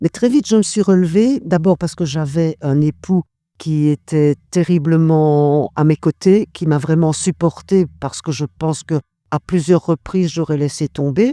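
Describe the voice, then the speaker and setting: A woman's very deep, low voice with a dark, mellow tone, ordinary pitch variation and a fairly slow pace, in a dry, close sound with no echo. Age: 60s. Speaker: cancer survivor. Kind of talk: testimony. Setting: recorded at a charity relay event.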